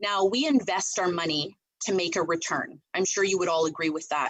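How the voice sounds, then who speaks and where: A woman with an unremarkable speaking voice talks at a medium pitch and moderate pace, her pitch varying in an ordinary way. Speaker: real estate team leader. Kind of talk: team meeting presentation.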